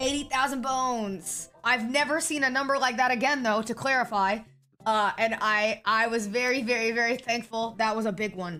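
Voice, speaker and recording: A woman speaks at a moderate pace in a fairly high pitch with ordinary pitch variation. Her tone is animated, bright and sharp. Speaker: streamer. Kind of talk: casual chat.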